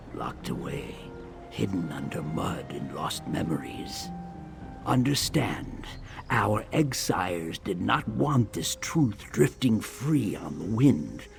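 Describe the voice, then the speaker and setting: A man does a put-on character voice, very deep and low, with very wide pitch swings at a fairly slow pace. Clear music plays in the background. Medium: machinima. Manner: warm, slow, grandfatherly.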